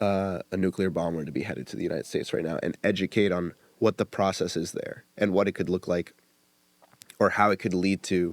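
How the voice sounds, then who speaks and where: Dry and close with no echo, a man's very deep, low voice moves at a fairly quick pace with fairly even intonation. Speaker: podcast host. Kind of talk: casual chat.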